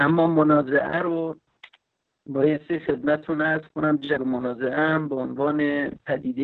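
This man talks fairly slowly. His delivery stays flat and monotone. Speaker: geopolitics expert. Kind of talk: lecture-style panel talk.

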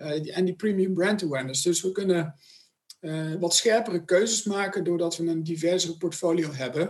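At a moderate pace, a man talks in a high voice with fairly even intonation. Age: 40s. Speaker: sponsorship manager. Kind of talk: interview.

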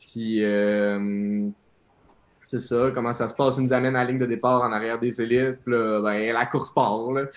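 The speaker has a Quebec accent and a monotone, flat intonation. The pace is moderate, and the background is quiet. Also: man, medium pitch for a man. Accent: Québécois French. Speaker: elite runner. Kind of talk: interview.

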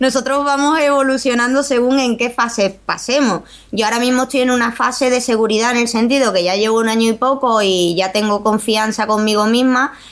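A woman with a high voice talks at a fairly quick pace with hardly any pauses, fairly even intonation and very even loudness. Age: 30s. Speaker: youtuber. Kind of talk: interview.

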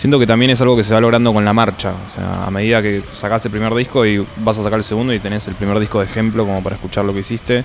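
Over music in the background, a man with an Argentine accent speaks at a very fast pace with hardly any pauses. His pitch is fairly low and his intonation monotone and flat. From Neuquén, Argentina. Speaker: metal singer. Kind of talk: casual interview chat. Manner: halting, with repetitions.

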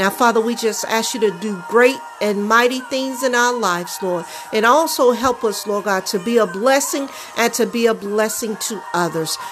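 Over music in the background, a woman speaks at a moderate pace in a fairly high, warm voice with ordinary pitch variation. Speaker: podcast host and prayer leader. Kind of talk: fervent prayer. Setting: home-recorded podcast with background music. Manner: earnest, pleading, repetitive with rhythmic invocations of God; warm, heartfelt, intimate.

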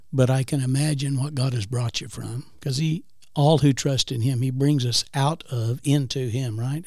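Hardly pausing, a man with a medium pitch and a dark, mellow, somewhat breathy tone speaks at a moderate pace with fairly even intonation. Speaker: guest co-host. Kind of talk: casual chat.

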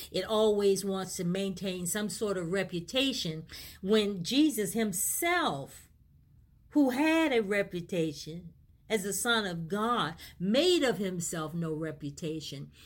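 An unremarkable speaking voice from a woman, medium in pitch, fairly slow, with lively intonation. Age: 60s. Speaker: pastor and radio host. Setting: online talk radio broadcast.

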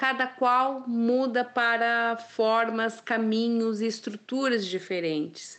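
Over a quiet background, the speaker talks at a very slow pace with hardly any pauses and ordinary pitch variation. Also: woman, fairly high pitch for a woman. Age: 50s. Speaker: content creator and communication therapist. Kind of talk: testimony. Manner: halting, many fillers.

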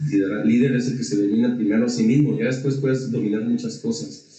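A man's plain, everyday voice, medium in pitch, with ordinary pitch variation. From Mexico. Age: 40s. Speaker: entrepreneur and leadership speaker. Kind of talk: casual interview. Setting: studio.

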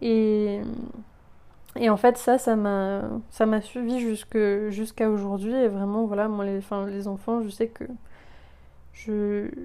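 A woman's fairly high voice, very slow and monotone with flat intonation, dark and mellow in tone, with long, frequent pauses, on a very clean recording with a silent background. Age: 20s. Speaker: podcast host. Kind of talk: personal testimony. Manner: halting.

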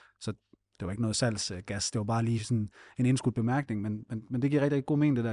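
Dark and mellow, the man's voice moves at a very fast pace with fairly even intonation. The sound is dry and close with no echo against a quiet background. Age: 30s. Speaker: podcast co-host. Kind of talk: podcast interview.

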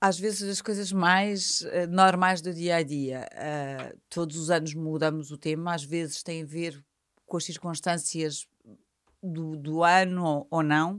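Fairly low in pitch, a woman speaks at a very slow pace with long, frequent pauses and fairly even intonation in a very clean recording with a silent background. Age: 50s. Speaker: events company executive. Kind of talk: interview. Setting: studio.

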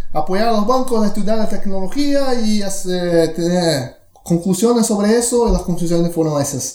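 A man with a Brazilian accent talks at a high pitch and moderate pace, with lively intonation and very even loudness. Audible room echo and noticeable background noise are present. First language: Portuguese (speaking Spanish). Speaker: tech company executive. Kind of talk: interview.

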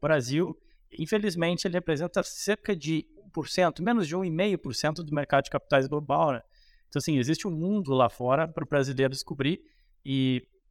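In a very clean recording with a silent background and a dry, close sound with no echo, a man with a plain, everyday voice talks at a moderate pace in a fairly high pitch with ordinary pitch variation. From Rio Grande do Sul, Brazil (Cruz Alta). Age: 30s. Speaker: economist and investment strategist. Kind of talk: casual interview on investing.

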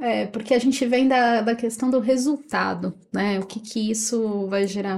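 A plain, everyday voice from a woman, fairly high-pitched, fairly slow, with fairly even intonation. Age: 30s. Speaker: teacher and operations coordinator. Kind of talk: casual chat.

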